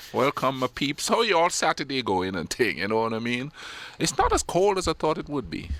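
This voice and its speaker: A man's fairly high voice with vocal fry and very wide pitch swings, on a very clean recording with a silent background. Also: fairly quick pace. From Caribbean islands. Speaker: radio show co-host. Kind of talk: casual chat. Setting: live radio studio. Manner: animated.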